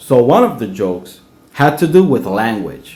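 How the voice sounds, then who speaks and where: A man with a Spanish accent talks fairly slowly with very wide pitch swings, amid audible room echo and noticeable background noise. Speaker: dishwasher telling personal story. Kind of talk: personal storytelling.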